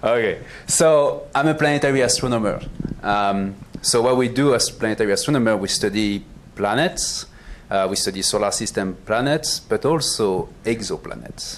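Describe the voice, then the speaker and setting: Medium-pitched male speech with a French accent, ordinary pitch variation, a moderate pace and very even loudness. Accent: French, noticeable. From France. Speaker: planetary astronomer. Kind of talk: panel talk presentation.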